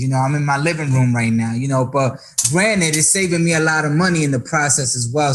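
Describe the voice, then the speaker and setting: A man with an American accent at a fairly high pitch, at a fairly quick pace with ordinary pitch variation, over noticeable background noise. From New York, the Bronx (Dominican parents). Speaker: podcast host, actor and musician. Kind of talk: casual interview. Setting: at home, living room. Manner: animated.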